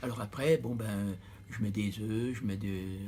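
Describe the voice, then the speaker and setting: This man has a fairly low pitch and a dark, mellow tone. He sounds somewhat breathy, with fairly even intonation. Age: 80s+. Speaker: retired butcher. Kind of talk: interview.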